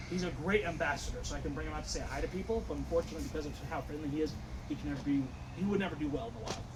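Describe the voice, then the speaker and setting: A man talks at a very fast pace. Noticeable background noise and audible room echo surround him. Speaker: wildlife center tour guide. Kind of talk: guided tour talk. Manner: loud.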